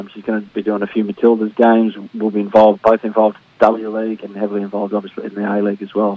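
A man speaks very fast in an Australian accent, his fairly low voice monotone and flat. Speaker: football broadcaster. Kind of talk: casual chat. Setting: phone call.

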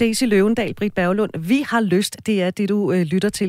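A woman speaks at a fairly slow pace with a dark, mellow tone and ordinary pitch variation. The recording is very clean, with a silent background. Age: 40s. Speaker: radio host. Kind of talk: radio talk show.

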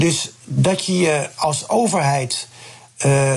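A man, with noticeable background noise. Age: 60s. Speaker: politician. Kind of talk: radio interview. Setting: remote call.

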